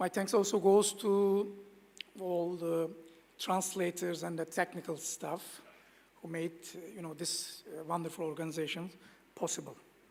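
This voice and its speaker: The speaker has a Turkish accent and a moderate pace. Pauses are long and frequent. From Turkey. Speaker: former government official, conference speaker. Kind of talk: conference speech. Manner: halting.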